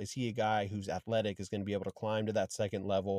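The voice has a dark, mellow tone and a very fast pace, with a dry, close sound, no echo and a quiet background. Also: man. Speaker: fantasy football podcast host, former offensive line coach. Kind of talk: casual interview. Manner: animated.

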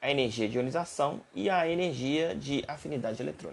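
A man speaks in a Brazilian accent with vocal fry. His intonation is lively. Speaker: university chemistry lecturer. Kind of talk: lecture. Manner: halting.

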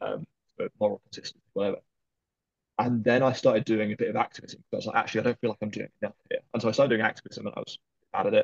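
A man talking at a very fast pace, in a dry, close sound with no echo. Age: 20s. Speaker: charity worker and activist. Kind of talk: interview.

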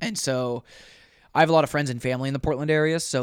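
Captured on a very clean recording with a silent background, a man with an unremarkable speaking voice talks at a fairly quick pace. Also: dry, close sound with no echo. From Oregon. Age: 20s. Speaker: professional runner. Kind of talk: casual chat. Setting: studio.

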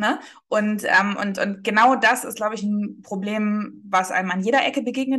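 A woman with an ordinary speaking voice, medium in pitch, with fairly even intonation. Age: 20s. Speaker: marketing agency founder. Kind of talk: casual interview.

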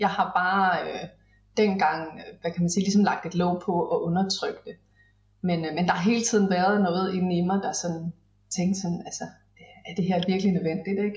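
Speaking at a medium pitch in a monotone, flat intonation, a woman leaves long, frequent pauses. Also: moderate pace. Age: 40s. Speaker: business mentor. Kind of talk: casual interview chat.

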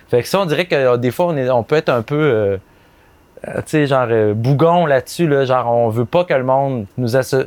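Speaking at a fairly quick pace with a Quebec accent, a man keeps a medium pitch, ordinary pitch variation and very even loudness in a dry, close sound with no echo. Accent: Québécois French. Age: 30s. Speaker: advertising copywriter. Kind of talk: casual chat. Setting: outdoors.

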